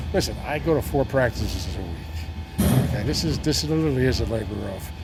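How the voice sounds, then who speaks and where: Over music in the background, a man talks at a fairly quick pace with a very deep, low pitch and lively intonation. Audible room echo surrounds his voice. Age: 70s. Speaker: sports team owner. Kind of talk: interview. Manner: conversational with many fillers.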